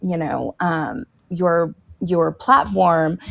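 A woman speaks at a very slow pace in a Texan accent. The recording is very clean, with a silent background. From Texas. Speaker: political candidate. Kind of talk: interview.

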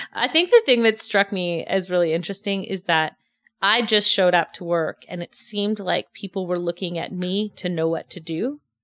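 A woman with a Montreal accent, fairly low-pitched and fairly quick, her intonation fairly even, on a very clean recording with a silent background. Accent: English-speaking Montreal Canadian. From Montreal, West Island (Quebec). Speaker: restaurant manager turned real estate agent. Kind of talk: casual interview.

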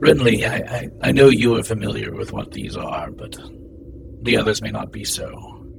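A man puts on a character voice at a moderate pace. Background noise is clear. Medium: actual play. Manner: dry, wry.

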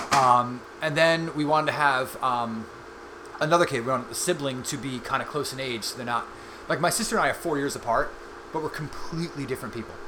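With an American accent, a man talks at a fairly quick pace in a fairly high pitch with ordinary pitch variation, amid audible room echo and noticeable background noise. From Long Island, New York. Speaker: bassist and father. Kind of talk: casual interview.

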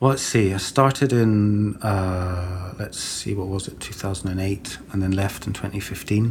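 Over noticeable background noise, a man with a fairly low pitch talks at a moderate pace with fairly even intonation and hardly any pauses. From born in Sweden, raised in Britain. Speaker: museum curatorial assistant. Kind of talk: casual interview.

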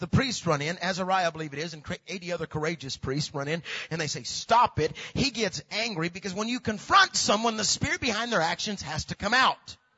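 The intonation is lively. The tone is animated. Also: man. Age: 40s. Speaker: preacher. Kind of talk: sermon.

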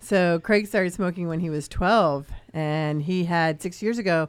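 A woman has an unremarkable speaking voice at a fairly low pitch. The recording is very clean, with a silent background. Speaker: co-host, rental agent. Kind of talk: live radio show chat.

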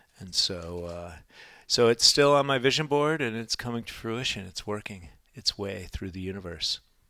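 On a very clean recording with a silent background, a man with a fairly low pitch and a bright, sharp tone speaks at a moderate pace, his intonation lively and his loudness swinging widely. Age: 50s. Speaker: health coach. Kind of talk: casual chat. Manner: animated.

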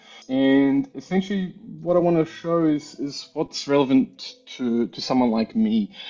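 A man with an Australian accent, fairly high in pitch, with lively intonation and a moderate pace. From Australia, Melbourne. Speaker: engineer and software user. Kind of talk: technical tutorial demo.

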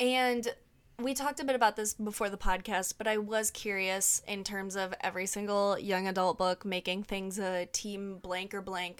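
A woman with a plain, everyday voice speaks at a moderate pace and a medium pitch, with fairly even intonation. The recording is very clean, with a silent background. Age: 30s. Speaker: book podcast host. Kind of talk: casual chat.

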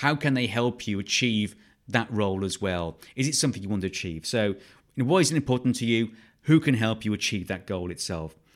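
Speaking at a fairly quick pace, a man uses lively intonation at a medium pitch. The recording is very clean with a silent background. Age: 50s. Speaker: podcast host, ecology trainer. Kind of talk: solo podcast monologue. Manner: hesitant, many fillers.

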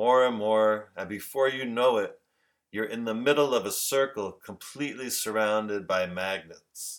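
This man has an unremarkable speaking voice, medium pitch, ordinary pitch variation and a fairly slow pace, captured on a very clean recording with a silent background. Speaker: life coach. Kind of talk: guided meditation; casual talk, book reading. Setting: recorded podcast.

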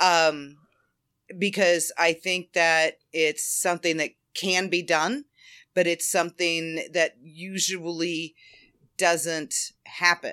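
The woman's voice is fairly low in pitch, with a bright, sharp tone. She speaks at a very slow pace with monotone, flat intonation. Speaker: fan fiction writer. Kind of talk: casual interview chat. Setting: remote call.

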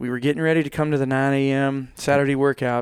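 Fairly high in pitch with fairly even intonation, this man has an unremarkable speaking voice. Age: 30s. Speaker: guest. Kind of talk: casual chat. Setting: studio.

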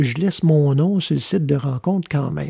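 Somewhat breathy with a dark, mellow tone and ordinary pitch variation, the voice sounds dry and close with no echo. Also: man. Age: 50s. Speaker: radio host. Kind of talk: spiritual talk show monologue. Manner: halting.

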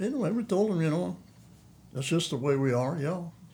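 A man's dark, mellow, somewhat breathy voice at a moderate pace. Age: 80s+. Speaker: veteran bow hunter. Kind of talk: casual interview chat. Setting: studio.

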